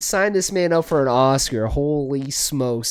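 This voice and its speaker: Here a man speaks with lively intonation. The background is quiet. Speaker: reaction streamer. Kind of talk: casual reaction commentary. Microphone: studio mic.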